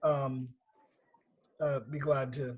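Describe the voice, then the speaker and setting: Flat, monotone intonation pairs with a voice that is somewhat breathy. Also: man. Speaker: nonprofit executive. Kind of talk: online meeting briefing. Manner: fast.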